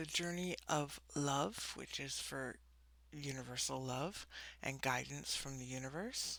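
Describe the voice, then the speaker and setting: Soft-spoken and calm, a woman talks at a fairly slow pace in a very deep, low pitch with ordinary variation and a bright, sharp tone. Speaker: spiritual coach and tarot reader. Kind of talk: oracle card reading.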